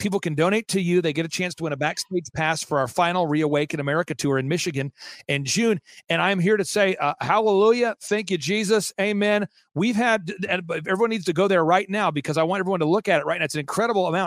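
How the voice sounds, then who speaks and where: Speaking at a very fast pace, a man with a high voice sounds animated, with ordinary pitch variation and a dry, close sound with no echo. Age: 40s. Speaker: political activist and event organizer. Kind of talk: interview.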